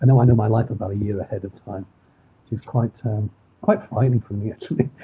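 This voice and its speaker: Talking at a very fast pace, a man with a Manchester accent keeps a medium pitch and fairly even intonation, with big swings in loudness. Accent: Manchester accent, still audible. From northern England, Manchester. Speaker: crime author. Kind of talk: interview. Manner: hesitant, with fillers.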